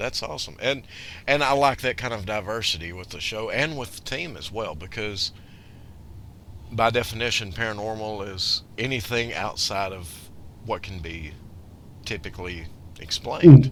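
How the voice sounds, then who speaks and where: With a Southern US accent, a man speaks at a moderate pace in a medium pitch, using lively intonation, big swings in loudness, and long, frequent pauses. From US South. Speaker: radio show host. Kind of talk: casual radio interview.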